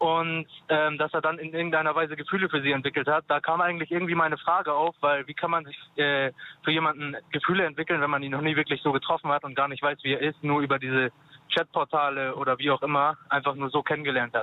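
Talking very fast, a man with a fairly high pitch keeps his intonation fairly even. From Turkish-German community. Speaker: caller. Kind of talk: phone-in call. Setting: phone call.

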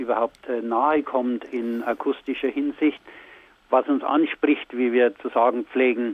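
In a Bavarian accent, a man speaks at a fairly slow pace with monotone, flat intonation. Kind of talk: radio interview. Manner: halting.

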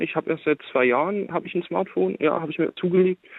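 An unremarkable speaking voice of a man, fairly high in pitch, with lively intonation and a fairly quick pace. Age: 20s. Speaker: caller. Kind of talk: phone-in conversation.

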